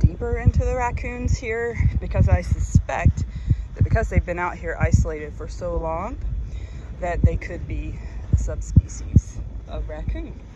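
Over loud background noise, a woman speaks with long, frequent pauses, and her voice sounds dry with no echo. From Mississippi. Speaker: marine biologist. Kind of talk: casual vlog narration. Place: beach. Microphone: phone near.

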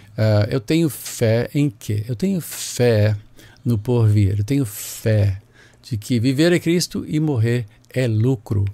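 A man speaks at a very slow pace. His voice sits at a medium pitch with ordinary pitch variation. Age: 60s. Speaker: bishop. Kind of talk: personal health update. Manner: halting.

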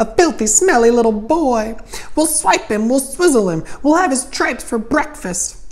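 A man puts on a character voice at an extremely high pitch. He goes at a moderate pace over light background noise. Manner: gleeful, vicious crying out.

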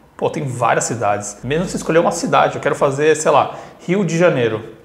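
A man speaks fairly quickly, and audible room echo follows his words. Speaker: travel vlogger. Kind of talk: casual vlog chat. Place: home room. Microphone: phone near.

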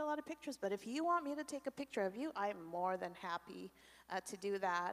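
Fairly quick speech from a woman with very wide pitch swings. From Canada, Korean family. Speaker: ministry leader; conference speaker. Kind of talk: testimony. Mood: reflective, candid. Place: church. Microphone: handheld.

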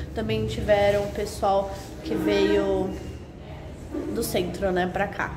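Noticeable background noise sits under a woman who talks at a very slow pace. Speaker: food vlogger. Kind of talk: casual vlog chat. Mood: cheerful, enthusiastic. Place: cafe. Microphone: phone near.

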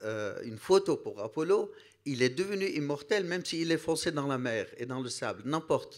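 Over a quiet background, a man with vocal fry talks at a fairly slow pace, his pitch swinging very widely. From Iraq. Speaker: priest. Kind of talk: panel discussion. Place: hall. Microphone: handheld.

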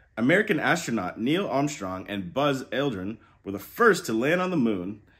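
The speaker reads in an unforced voice.

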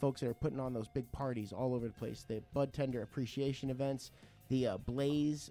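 Faint music can be heard behind the voice. The delivery is at a moderate speed. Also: man. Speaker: radio show host. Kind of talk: radio show host chat. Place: studio. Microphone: studio mic.

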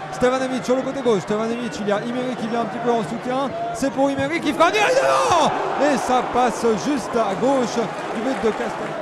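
A man talks at an extremely high pitch with ordinary pitch variation. Noticeable background noise is present. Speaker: football match commentator. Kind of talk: live sports commentary. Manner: rapid-fire, breathless play-by-play, names shouted in quick succession.

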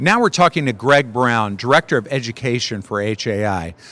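At a moderate pace, a man speaks at a medium pitch with a fairly bright tone and lively intonation.

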